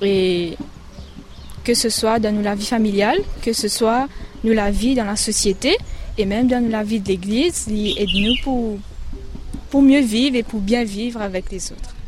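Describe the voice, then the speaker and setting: Through audible room echo and noticeable background noise, a woman speaks slowly-ish at a fairly slow pace, fairly high in pitch with ordinary pitch variation and long, frequent pauses. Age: young. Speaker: student. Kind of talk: radio interview.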